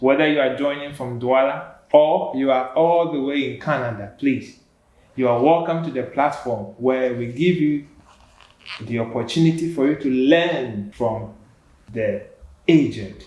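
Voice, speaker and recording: Here a man talks at a fairly slow pace with a medium pitch and ordinary pitch variation. He has a plain, everyday voice. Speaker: talk show host. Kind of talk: show introduction.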